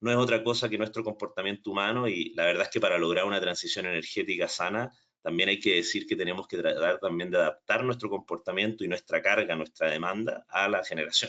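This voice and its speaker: A man talks at a very fast pace with a Chilean accent and hardly any pauses. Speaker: energy storage specialist. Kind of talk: technical training webinar. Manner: hesitant, with repetitions and fillers.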